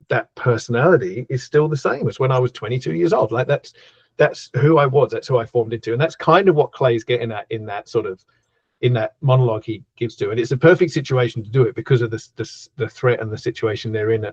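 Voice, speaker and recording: Very fast and somewhat breathy, a man talks at a medium pitch with ordinary pitch variation, in a dry, close sound with no echo. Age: 50s. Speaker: horror author. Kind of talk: casual interview chat.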